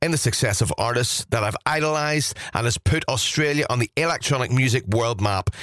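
Upbeat and energetic, a man talks at a fairly quick pace and medium pitch with lively intonation, the sound dry and close with no echo despite noticeable background noise. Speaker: radio DJ presenter. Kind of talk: radio DJ patter. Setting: radio studio broadcast. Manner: upbeat, energetic, enthusiastic; fluent, promo-style.

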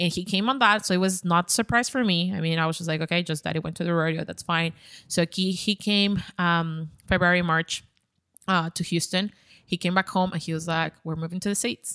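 A woman with a Spanish accent speaks at a fairly quick pace, her fairly low pitch carrying a bright, sharp tone and fairly even intonation. The recording is very clean, with a silent background and a dry, close sound with no echo. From Ecuador. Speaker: content creator. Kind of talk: casual chat.

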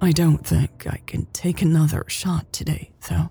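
Over faint music in the background, a soft-spoken woman puts on a character voice with a low pitch and a dark, mellow tone. Her pitch moves little, and vocal fry runs through it. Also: moderate pace.

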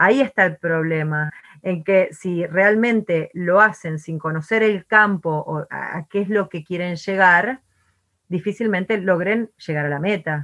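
Talking at a fairly slow pace, a woman comes through in a dry, close sound with no echo. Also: medium pitch for a woman, ordinary pitch variation. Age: 40s. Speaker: entrepreneur and artist. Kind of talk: interview conversation. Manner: energetic.

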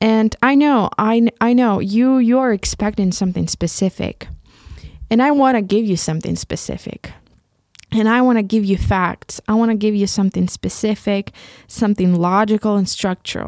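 A woman with a Ukrainian accent talks at a moderate pace, her fairly high pitch showing ordinary variation. Her loudness stays very even, and the sound is dry and close with no echo. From Ukraine. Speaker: podcast host. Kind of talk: solo monologue reflecting on own podcast. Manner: halting, with many fillers.

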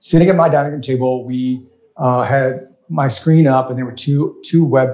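Somewhat breathy, a man with an American accent speaks at medium pitch and with fairly even intonation. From US South, rural Louisiana. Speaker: startup investor and crowdfunding advocate. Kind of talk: casual interview.

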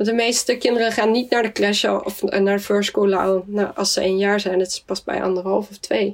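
A woman with a slight Swedish accent speaks at medium pitch and a moderate pace in a flat monotone, with hardly any pauses. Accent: slight Swedish tinge in Dutch. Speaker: general practitioner. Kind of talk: interview. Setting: video call. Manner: hesitant, many fillers.

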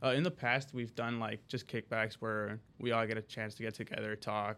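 Bright and sharp in tone, a man's voice keeps a monotone, flat intonation. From Chicago area, US Midwest (Skokie suburb). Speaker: college student, student club president. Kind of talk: podcast interview. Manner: casual, many fillers (um, like).

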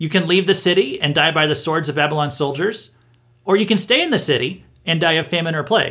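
A man with an American accent talks at a fairly quick pace, his bright, sharp tone carrying lively intonation. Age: 30s. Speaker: pastor and podcast host. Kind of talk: Bible teaching monologue.

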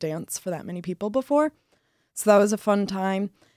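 In a very clean recording with a silent background and a dry, close sound with no echo, a woman uses an ordinary speaking voice at medium pitch, moderate pace and ordinary pitch variation. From Michigan. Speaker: college student, dance club member. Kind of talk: casual interview.

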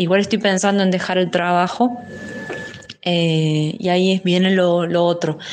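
With a Córdoba Argentine accent, a woman speaks at a medium pitch and a fairly slow pace with fairly even intonation and very even loudness, over noticeable background noise. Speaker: caller. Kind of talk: voice message. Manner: halting, many fillers.

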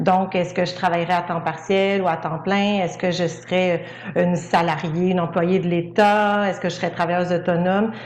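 Speaking at a moderate pace in a fairly low, monotone, flat voice, a woman is heard with audible room echo. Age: 40s. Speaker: speech-language pathologist. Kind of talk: testimony.

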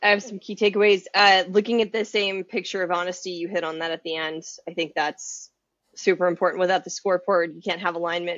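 Fairly even intonation runs through speech that moves at a fairly quick pace. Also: woman. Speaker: podcast co-host, consultant. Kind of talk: casual chat.

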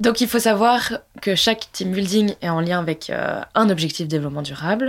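Noticeable background noise sits behind a woman speaking at a moderate pace. Her pitch is medium, with ordinary pitch variation. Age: 20s. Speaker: entrepreneur. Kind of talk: interview.

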